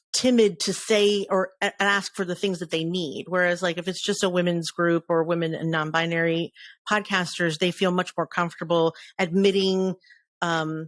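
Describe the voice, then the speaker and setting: A woman speaks at a moderate pace and fairly low pitch with fairly even intonation, the sound dry and close with no echo, in a very clean recording with a silent background. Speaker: podcaster and podcast community leader. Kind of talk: interview. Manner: loud.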